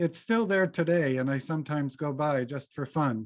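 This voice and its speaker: A man with an American accent has a normal speaking voice at a fairly high pitch for a man. He keeps a moderate pace with ordinary pitch variation over a quiet background. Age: 50s. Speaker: lay worship associate. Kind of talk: personal reflection in a church service.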